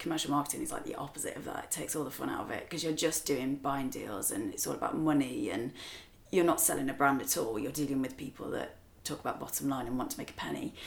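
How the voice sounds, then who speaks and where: This woman speaks with an English accent. Her pace is very fast. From England. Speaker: spirits brand co-founder. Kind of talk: casual interview chat.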